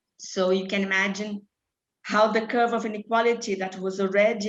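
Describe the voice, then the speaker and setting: Speaking with a Brazilian Portuguese accent, a woman keeps a medium pitch, a moderate pace and monotone, flat intonation. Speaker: charity programme director. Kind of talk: panel talk. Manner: halting.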